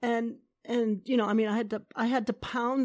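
Fairly high in pitch with fairly even intonation, a woman speaks in a normal speaking voice. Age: 60s. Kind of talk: interview.

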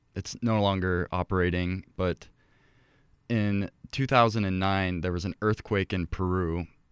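With an American accent, a man with a very deep, low pitch talks at a moderate pace and with fairly even intonation, in a dry, close sound with no echo against a quiet background. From Ecuador (Quito), to American parents. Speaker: college president. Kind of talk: interview.

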